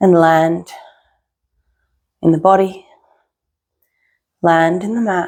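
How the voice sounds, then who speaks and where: A woman with a fairly low pitch speaks very slowly in a monotone, flat intonation. Her pauses are long and frequent. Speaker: yoga teacher. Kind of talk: guided yoga practice. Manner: soft-spoken.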